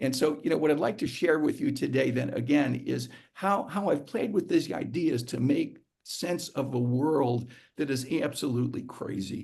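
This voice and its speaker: Audible room echo surrounds a voice with vocal fry. It moves at a moderate pace with ordinary pitch variation. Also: man, fairly high pitch for a man. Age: 70s. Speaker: psychiatrist and psychoanalyst giving a talk. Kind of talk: lecture. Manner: halting, many fillers and repetitions; stutter-like repeats.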